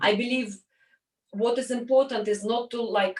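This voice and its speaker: With a Russian accent, a woman speaks fairly slowly and with fairly even intonation. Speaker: entrepreneur. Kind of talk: interview. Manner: halting.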